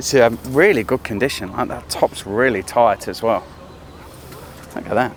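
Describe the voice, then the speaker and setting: A man at a medium pitch, moderate pace, ordinary pitch variation and long, frequent pauses, with noticeable background noise. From Australia. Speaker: car show host. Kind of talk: casual interview.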